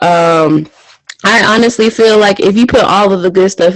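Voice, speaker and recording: The delivery is fairly slow. Music can be heard behind it. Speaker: podcast guest. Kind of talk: casual chat.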